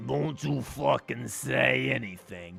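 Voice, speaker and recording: A man's raspy, put-on character voice at a fairly slow pace, with faint music in the background. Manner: menacing.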